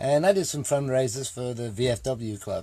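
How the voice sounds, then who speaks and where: His voice is somewhat breathy, with a dark, mellow tone and ordinary pitch variation. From England. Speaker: army veteran, charity volunteer leader. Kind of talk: interview. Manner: halting, many fillers.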